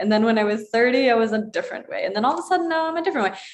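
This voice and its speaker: Noticeable background noise sits behind this recording. The speaker is a woman with a fairly high pitch. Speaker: yoga teacher. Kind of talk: live stream chat with viewer comments. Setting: live online broadcast. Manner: fast.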